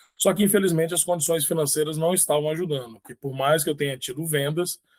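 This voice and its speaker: Talking very fast at a fairly high pitch, a man keeps his intonation fairly even while his loudness swings widely. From Brazil, Espírito Santo. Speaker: author. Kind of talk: interview.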